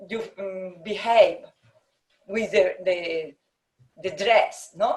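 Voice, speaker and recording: In a Spanish accent, the speaker talks at a very slow pace. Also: woman, medium pitch for a woman, ordinary pitch variation. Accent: Spanish accent, non-native English. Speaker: architect. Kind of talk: interview conversation. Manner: halting, hesitant.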